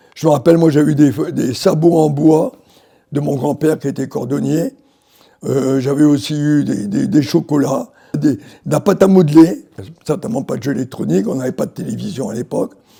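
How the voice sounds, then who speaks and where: Vocal fry runs through this man's fairly high voice, which has a dark, mellow tone. He keeps a moderate pace with lively intonation. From Algeria, Morocco and France. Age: 80s+. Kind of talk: interview answer, personal memories.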